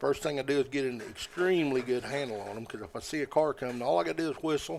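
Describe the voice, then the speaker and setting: A man with an American accent talks at a very fast pace, his intonation lively. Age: 60s. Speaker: squirrel dog hunter. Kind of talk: casual interview chat.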